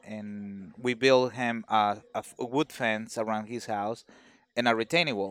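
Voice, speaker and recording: At a very slow pace, a man talks with a Mexican accent in a dry, close sound with no echo. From Mexico, Veracruz. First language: Spanish. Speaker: carpenter. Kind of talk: casual chat. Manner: halting.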